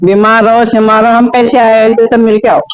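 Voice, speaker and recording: A man speaks at a high pitch. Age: 60s. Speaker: elderly voter. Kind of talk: street interview.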